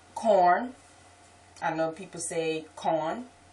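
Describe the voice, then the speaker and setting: Noticeable background noise runs through the clip. A woman speaks at a very slow pace. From New Orleans, Louisiana. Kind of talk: accent tag video, casual talk to camera.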